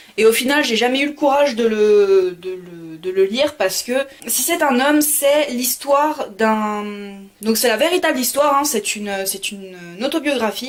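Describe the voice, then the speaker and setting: A woman speaks at a high pitch and a moderate pace with lively intonation. Noticeable background noise can be heard. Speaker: book vlogger. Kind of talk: casual talk to camera.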